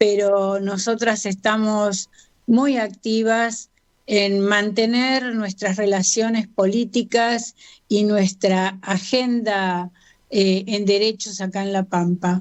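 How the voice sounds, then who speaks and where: In a medium pitch, a woman speaks at a very slow pace with monotone, flat intonation. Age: 70s. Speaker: feminist activist. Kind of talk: radio interview.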